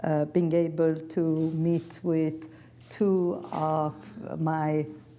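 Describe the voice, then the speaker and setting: A woman's very deep, low voice in a Persian accent, dark and mellow in tone, with monotone, flat intonation. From Iran. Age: 70s. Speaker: author and former prisoner. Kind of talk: public talk.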